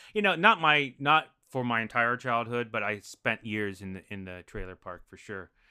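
An ordinary speaking voice with an American accent, lively intonation, a moderate pace and big swings in loudness. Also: man, medium pitch for a man. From Denver, Colorado. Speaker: improv comedian and actor. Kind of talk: casual chat. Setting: video call.

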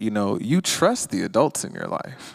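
A man with an American accent talks at a moderate pace in a plain, everyday voice, medium in pitch with lively intonation, in a very clean recording with a silent background and a dry, close sound with no echo. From US South, Georgia. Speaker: author and activist. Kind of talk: interview conversation.

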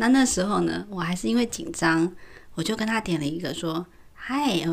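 A woman's fairly low voice with vocal fry, lively intonation and a moderate pace. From Taiwan. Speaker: podcast co-host. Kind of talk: casual chat.

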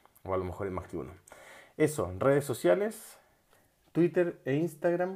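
Speaking in a Chilean accent, a man has a dark, mellow tone and very wide pitch swings at a moderate pace. The recording is very clean, with a silent background. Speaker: podcast host, psychologist. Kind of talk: motivational monologue.

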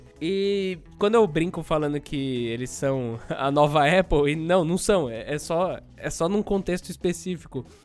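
With music in the background, a man with a fairly high pitch speaks at a fairly slow pace with hardly any pauses and ordinary pitch variation. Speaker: tech podcast host. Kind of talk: casual chat.

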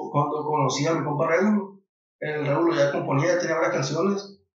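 A man talks in a high voice with ordinary pitch variation. Audible room echo is present. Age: 30s. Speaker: singer-songwriter. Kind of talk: casual interview.

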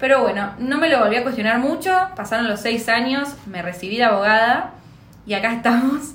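The speech comes at a fairly quick pace with ordinary pitch variation and audible room echo. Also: woman. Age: 20s. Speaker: podcast co-host. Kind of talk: casual chat.

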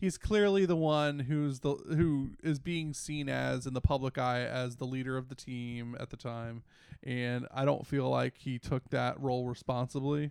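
In a plain, everyday voice with an American accent, the speaker goes at a fairly slow pace with fairly even intonation and hardly any pauses, over a quiet background. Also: man, medium pitch for a man. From Washington DC area, US. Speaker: podcast co-host. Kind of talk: casual chat.

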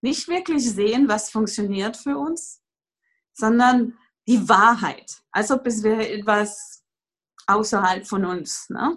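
Lively intonation marks a woman's fairly high voice in a French accent. She speaks at a very slow pace. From France. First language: French (speaking German). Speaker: Access Consciousness facilitator, former yoga teacher. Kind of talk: casual interview conversation. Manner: hesitant, many fillers.

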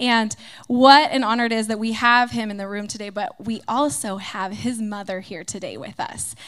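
A normal speaking voice from a woman, fairly high in pitch with ordinary pitch variation, at a moderate pace on a very clean recording with a silent background. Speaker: pastor's wife. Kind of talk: spoken prayer. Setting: church service before a congregation.

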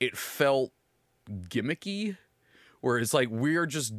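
A man speaks loudly, his pitch swinging very widely. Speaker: podcast host. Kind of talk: casual chat.

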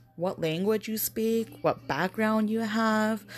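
A woman talks in an American accent. Music plays in the background. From Las Vegas, US. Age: 30s. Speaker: salesperson and tarot reader. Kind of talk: casual chat.

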